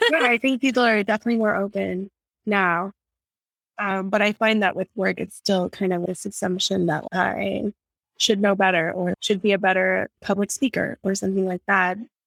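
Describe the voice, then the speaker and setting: In a normal speaking voice, a woman with an American accent talks at a moderate pace and medium pitch, her intonation fairly even, on a very clean recording with a silent background. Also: dry, close sound with no echo. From California and Texas, French household. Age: 30s. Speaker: entertainment executive and entrepreneur. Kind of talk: casual interview chat.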